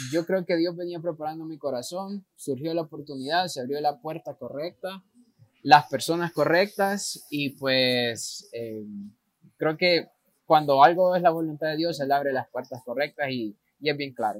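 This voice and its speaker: In a dry, close sound with no echo, a normal speaking voice moves at a fairly slow pace with ordinary pitch variation and big swings in loudness. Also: man, fairly high pitch for a man. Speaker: missionary. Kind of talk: interview.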